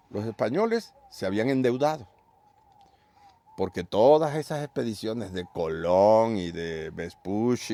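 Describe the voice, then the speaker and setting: A man at a fairly slow pace. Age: old. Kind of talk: interview answer. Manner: informal, storytelling.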